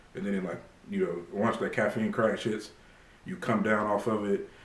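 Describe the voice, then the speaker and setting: Amid noticeable background noise and audible room echo, a man speaks at a medium pitch with lively intonation. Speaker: fitness vlogger. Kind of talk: casual vlog monologue to camera. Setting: at home. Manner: halting, many fillers.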